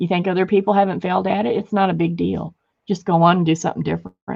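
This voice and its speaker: A woman's voice with vocal fry. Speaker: craft artist. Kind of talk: craft livestream tutorial. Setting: home studio livestream. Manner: loud; fast when excited.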